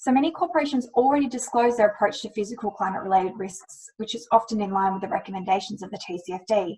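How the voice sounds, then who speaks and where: Speaking very fast with a fairly high, somewhat breathy voice and a dark, mellow tone, this woman in an Australian accent has lively intonation and big swings in loudness. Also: hardly any pauses. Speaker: climate risk lawyer. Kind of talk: webinar presentation. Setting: webinar.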